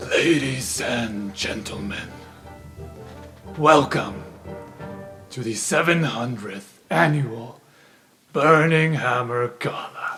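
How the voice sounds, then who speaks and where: Using a put-on character voice, a man speaks at a medium pitch in a booming, raspy way, very slowly and with long, frequent pauses, while faint music plays in the background. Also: lively intonation. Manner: formal, welcoming.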